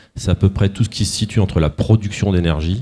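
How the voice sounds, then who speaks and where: At a moderate pace, a man talks in a fairly low pitch with a dark, mellow tone and ordinary pitch variation. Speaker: corporate executive. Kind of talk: conference presentation. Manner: hesitant, many fillers.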